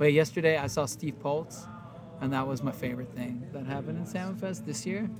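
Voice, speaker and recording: With noticeable background noise behind him, a man with a fairly high pitch and ordinary pitch variation talks at a fairly quick pace in a relaxed tone. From Warsaw, Poland. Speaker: touring band musician. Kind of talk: backstage interview chat, casual. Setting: backstage. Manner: relaxed, laid-back, laughing.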